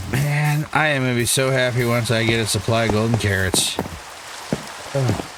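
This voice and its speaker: A man with a New England accent speaks at a moderate pace, medium in pitch and fairly even in intonation, with very even loudness and long, frequent pauses. Audible room echo and noticeable background noise come through. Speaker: gaming YouTuber. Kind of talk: gameplay commentary. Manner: casual, self-talking.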